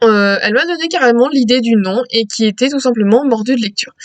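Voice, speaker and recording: With lively intonation and a high pitch, a woman speaks at a fairly quick pace in a dry, close sound with no echo. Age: 20s. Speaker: book reviewer. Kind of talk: casual vlog self-introduction. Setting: recorded on laptop at home. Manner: hesitant, many fillers. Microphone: laptop mic.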